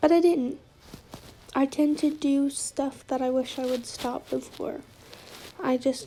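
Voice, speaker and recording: A woman speaks at a fairly slow pace with a high pitch and ordinary pitch variation. Noticeable background noise sits behind her. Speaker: art vlogger. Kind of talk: casual voiceover while drawing. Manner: rambling, chatty.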